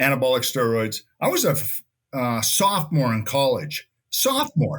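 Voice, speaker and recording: Speaking in a plain, everyday voice, a man talks at a moderate pace. His pitch is fairly high, with ordinary variation. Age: 60s. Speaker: former TV gladiator and college football player. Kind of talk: casual interview chat.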